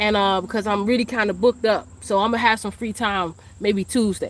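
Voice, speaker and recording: A woman with an American accent talks at a fairly quick pace, fairly high in pitch with ordinary pitch variation. Background noise is noticeable. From Washington, D.C. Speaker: spiritual teacher and psychic reader. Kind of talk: livestream monologue. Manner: fast; casual.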